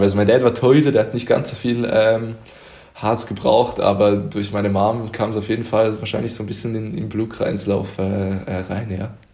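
With noticeable background noise and audible room echo, a man speaks at a moderate pace in a fairly low pitch, keeping his intonation fairly even. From Switzerland, near Zurich (Uster). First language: Swiss German (speaking German). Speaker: handball player. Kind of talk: podcast interview. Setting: at home. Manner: hesitant, many fillers.

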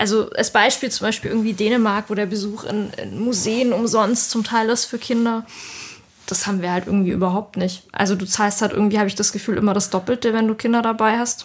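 Her pitch is fairly high and her intonation monotone and flat. The woman talks at a fairly quick pace over noticeable background noise. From southern Germany. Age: 30s. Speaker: layout designer. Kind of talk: casual chat.

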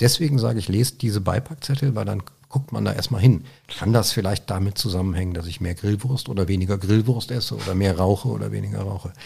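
Speaking at a very fast pace, a man with fairly low pitch shows ordinary pitch variation. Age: 50s. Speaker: Parkinson's patient sharing experience. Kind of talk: interview conversation. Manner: halting.

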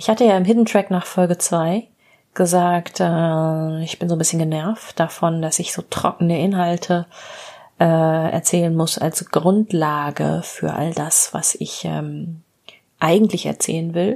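A woman's dark, mellow tone sits at a fairly low pitch, with fairly even intonation. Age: 40s. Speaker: psychotherapist and podcast host. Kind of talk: solo storytelling monologue.

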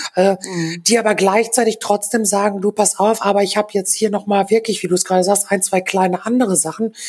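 A woman's medium-pitched voice at a fairly quick pace, fairly even in intonation, against noticeable background noise. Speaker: freelance designer and DJ. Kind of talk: casual chat.

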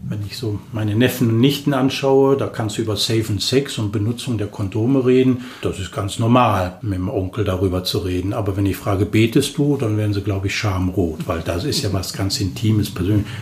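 This man has a fairly low pitch and ordinary pitch variation, speaking at a fairly quick pace with hardly any pauses. Noticeable background noise runs underneath. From Germany, Cologne. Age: 50s. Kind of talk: personal faith interview. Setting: small room, in person.

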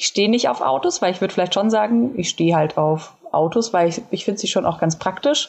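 Lively intonation marks this woman's speech. She talks at a very fast pace. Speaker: podcast co-host. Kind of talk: casual chat.

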